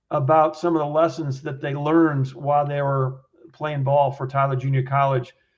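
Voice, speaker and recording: Somewhat breathy, a man with a fairly high pitch talks at a moderate pace. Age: 60s. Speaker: baseball play-by-play broadcaster and former coach. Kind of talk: podcast interview. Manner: halting, with fillers and repetitions.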